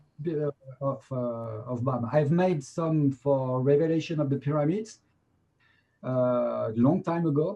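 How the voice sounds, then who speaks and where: Speaking at a fairly slow pace, a man with a French accent has a fairly high, somewhat breathy voice with ordinary pitch variation. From France. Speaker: documentary director. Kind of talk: interview. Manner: halting.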